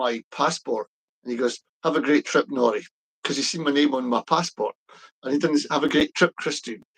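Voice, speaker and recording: The sound is dry and close with no echo as a man talks with ordinary pitch variation. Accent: Scottish. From Scotland. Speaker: pro-independence political commentator. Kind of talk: casual chat. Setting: live stream. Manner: hesitant, many fillers.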